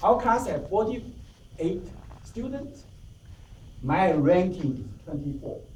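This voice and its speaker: With audible room echo, a man speaks in a high pitch at a very slow pace, his pitch swinging very widely between long, frequent pauses. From Taiwan. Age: 50s. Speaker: club member giving a speech. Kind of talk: prepared speech. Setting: club meeting with audience.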